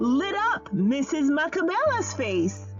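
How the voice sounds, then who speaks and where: Music fills the background. Over it, a woman talks. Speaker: audiobook narrator. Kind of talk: children's storybook reading.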